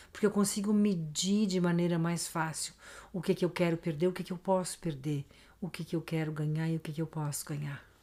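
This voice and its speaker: On a very clean recording with a silent background, a woman speaks at a fairly quick pace with a fairly low pitch. Her tone is dark and mellow, somewhat breathy, with fairly even intonation. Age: 60s. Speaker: podcast guest, host's mother. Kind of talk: casual interview chat.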